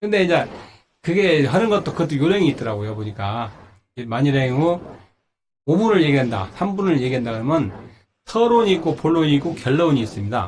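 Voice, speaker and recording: A man with a fairly high voice talks at a fairly quick pace, his pitch swinging very widely, with long, frequent pauses. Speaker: singer and legal scrivener. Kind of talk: personal talk practice speech. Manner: halting, self-correcting.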